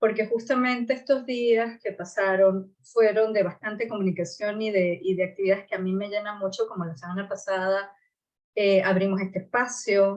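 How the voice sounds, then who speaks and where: Fairly even intonation in an unremarkable speaking voice, moderately paced. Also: woman, medium pitch for a woman. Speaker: podcast co-host. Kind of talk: casual conversation.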